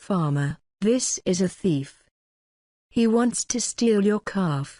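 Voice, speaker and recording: Against a quiet background, a put-on character voice that sounds female speaks at a very slow pace with a middle pitch. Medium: read story.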